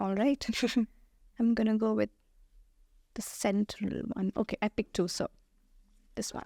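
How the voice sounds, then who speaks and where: On a very clean recording with a silent background, a woman with an Indian accent speaks at a moderate pace in a dark, mellow, fairly high-pitched voice, taking long, frequent pauses. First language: Hindi. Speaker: kindergarten teacher. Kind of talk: podcast interview. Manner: halting, many fillers.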